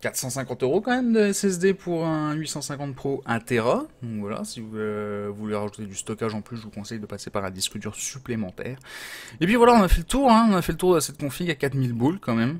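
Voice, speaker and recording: A man at a fairly quick pace, with very wide pitch swings and big swings in loudness. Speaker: gaming hardware youtuber; streamer reviewing PC parts. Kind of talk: product review. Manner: casual, many hesitations. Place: home room.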